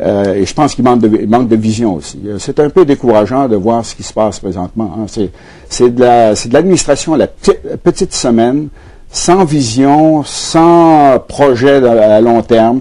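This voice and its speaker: A man speaks in a medium pitch with a dark, mellow tone. His intonation is lively and his pace moderate. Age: 70s. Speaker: former politician and economist. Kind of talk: TV interview. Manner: halting, with frequent fillers and repetitions.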